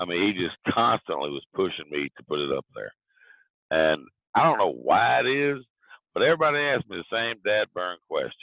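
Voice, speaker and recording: In a Southern accent, a man speaks at a moderate pace. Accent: southern lilt. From US South, southwest Virginia. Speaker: author. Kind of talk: interview. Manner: halting, with fillers.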